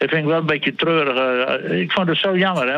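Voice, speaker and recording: A high-pitched man at a fairly quick pace, with ordinary pitch variation. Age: 70s. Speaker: sports columnist. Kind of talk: casual chat.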